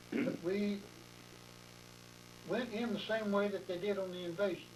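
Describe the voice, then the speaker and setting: Amid audible room echo, a man with an American accent speaks at a high pitch and moderate pace. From Texas, Anderson County. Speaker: war veteran. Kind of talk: oral history interview. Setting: interviewer's home.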